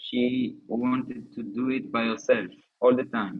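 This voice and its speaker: A man with an Israeli accent at a fairly slow pace. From southern Israel. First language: Hebrew. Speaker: bereaved husband, soldier. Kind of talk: interview testimony. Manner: halting.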